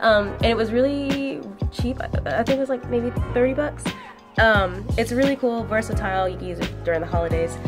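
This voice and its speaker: A woman's speech runs at a fairly quick pace. There is music in the background. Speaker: photographer. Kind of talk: casual cooking vlog talk to camera. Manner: casual, chatty.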